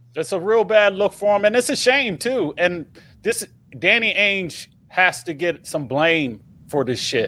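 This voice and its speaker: In a raised, projected voice with a bright, sharp tone, a man speaks at a high pitch and a fairly slow pace, his pitch swinging very widely, on a very clean recording with a silent background. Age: 40s. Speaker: podcast host. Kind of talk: casual chat. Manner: animated.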